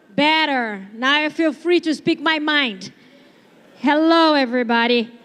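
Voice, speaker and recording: A woman with a Brazilian accent speaks at a very slow pace in a bright, sharp tone with ordinary pitch variation. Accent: Brazilian accent, noticeable. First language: Portuguese. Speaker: stand-up comedian. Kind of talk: stand-up. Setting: stage with audience.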